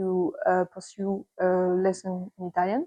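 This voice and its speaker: A woman speaks in a French accent at medium pitch. Her tone is dark and mellow, recorded dry and close with no echo. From France, near Paris. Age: 20s. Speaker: volunteer library assistant. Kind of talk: interview testimony. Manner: hesitant, with fillers.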